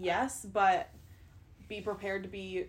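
Speaking very slowly, a woman keeps her voice at a mid-range pitch. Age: 20s. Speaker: podcast host. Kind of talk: casual chat.

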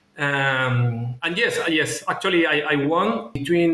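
This man talks in a Spanish accent. Background noise is noticeable. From Chile. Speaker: former finance executive, MBA student. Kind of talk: interview. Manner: halting.

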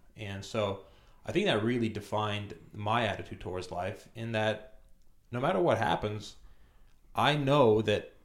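Speaking in a Romanian accent, a man talks at a moderate pace in a fairly low voice with ordinary pitch variation. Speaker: immigrant business guest. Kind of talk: casual interview.

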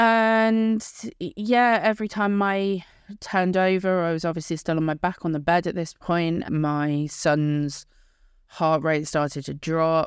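A woman with an English accent speaks at a fairly slow pace, her pitch fairly low. Her pitch varies in an ordinary way over a quiet background. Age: 30s. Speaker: podcast host. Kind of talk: personal storytelling monologue.

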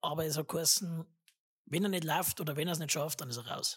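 Somewhat breathy and fairly quick, a woman talks with a very deep, low pitch. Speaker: podcast host. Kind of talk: casual chat.

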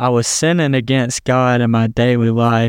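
A man with a Southern US accent and fairly even intonation, in a dry, close sound with no echo and a quiet background. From US South, South Carolina. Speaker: Bible college student. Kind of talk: testimony.

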